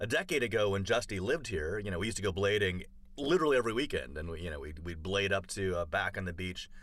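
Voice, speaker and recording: Speaking at a fairly quick pace, a man has a very deep, low voice with a bright, sharp tone and ordinary pitch variation. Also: very clean recording, silent background. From Canada, Toronto. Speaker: comedian. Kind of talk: casual chat.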